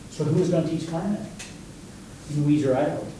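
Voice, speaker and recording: A man talks at a fairly quick pace in a fairly high pitch for a man, with audible room echo and noticeable background noise. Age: 70s. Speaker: music educator. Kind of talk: lecture. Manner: animated.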